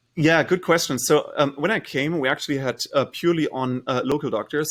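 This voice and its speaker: On a very clean recording with a silent background, a man with a German accent talks at a fairly quick pace and with ordinary pitch variation. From Germany. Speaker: startup founder and CEO. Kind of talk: interview.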